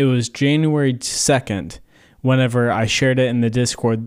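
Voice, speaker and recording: At a moderate pace, a man with a medium pitch delivers his words in a flat monotone. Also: very clean recording, silent background. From Kentucky. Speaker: podcast host. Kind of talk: casual chat.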